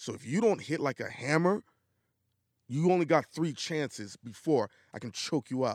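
A man with a New York accent speaks at a moderate pace in a fairly high pitch, with lively intonation and long, frequent pauses. The sound is dry and close with no echo, and the recording is very clean with a silent background. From New York (Brooklyn). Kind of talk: casual chat.

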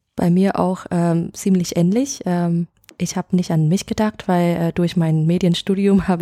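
A woman's fairly low, dark, mellow voice with a Vietnamese accent, at a moderate pace and with fairly even intonation, in a dry, close sound with no echo. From Vietnam, Hanoi. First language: Vietnamese (speaking German). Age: 20s. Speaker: editor at an education agency. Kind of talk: interview. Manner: halting, many fillers.

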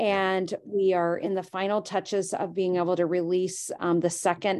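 Against a quiet background, a woman with a plain, everyday voice speaks at medium pitch with ordinary pitch variation. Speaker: company president and CEO. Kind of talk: casual interview chat.

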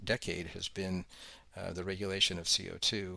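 With an American accent, a man talks in a fairly low pitch. The background is silent and the recording very clean. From Colorado. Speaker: environmental lawyer. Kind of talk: interview. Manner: articulate.

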